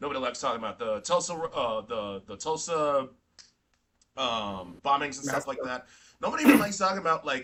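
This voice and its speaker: A man with an unremarkable speaking voice and fairly high pitch talks at a fairly quick pace with lively intonation. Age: young. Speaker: podcast host. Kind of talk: casual chat.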